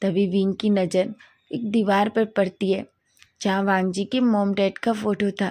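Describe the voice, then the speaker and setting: A woman speaks at a fairly slow pace with monotone, flat intonation and a medium pitch, in a dark, mellow tone. The recording is very clean, with a silent background. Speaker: story narrator. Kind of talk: story narration. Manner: halting.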